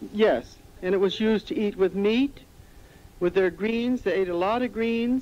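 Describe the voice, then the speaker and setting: In an American accent, a woman speaks at a fairly slow pace with a dark, mellow tone and ordinary pitch variation. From Central California. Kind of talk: interview answer. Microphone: old recording.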